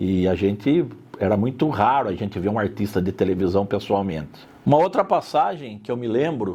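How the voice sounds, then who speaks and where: A man's dark, mellow voice moves at a moderate pace with lively intonation. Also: fairly low pitch for a man. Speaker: interviewee in documentary. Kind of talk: interview testimony.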